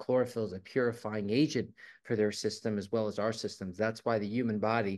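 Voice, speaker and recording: The background stays quiet. A man speaks at a fairly quick pace in a monotone, flat intonation. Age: 50s. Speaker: guest promoting health products. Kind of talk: product promotion. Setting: video call. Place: home room. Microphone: video call.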